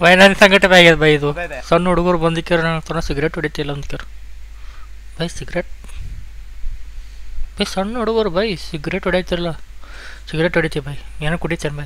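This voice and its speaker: High-pitched man's voice, bright and sharp, with fairly even intonation. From Gulbarga, Karnataka. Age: 20s. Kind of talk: casual reaction commentary.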